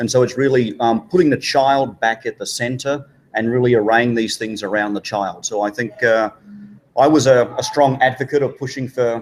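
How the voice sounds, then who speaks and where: In an Australian accent, the speaker moves at a fairly quick pace with fairly even intonation. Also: man. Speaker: education organization leader, former teacher. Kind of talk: live panel interview. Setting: conference with live audience.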